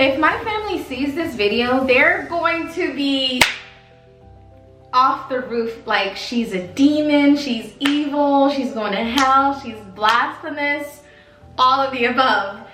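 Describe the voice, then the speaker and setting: A woman speaks very slowly in a raised, projected, high-pitched voice with ordinary pitch variation. Music plays in the background, and room echo is audible. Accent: American. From Baltimore, Maryland, US. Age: 30s. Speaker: former cult member, vlogger. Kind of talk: personal testimony. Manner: casual, hesitant with fillers.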